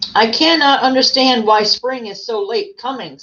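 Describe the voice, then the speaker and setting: A woman puts on a gruff character voice with a high pitch. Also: moderate pace. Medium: read story.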